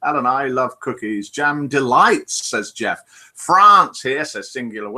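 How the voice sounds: The voice reads aloud naturally. It sounds like a natural reading voice.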